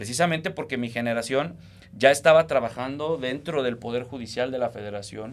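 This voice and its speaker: An unremarkable speaking voice, fairly quick in pace and ordinary in its pitch variation. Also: man, medium pitch for a man. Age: 30s. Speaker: lawyer and political analyst. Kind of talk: political discussion on a podcast.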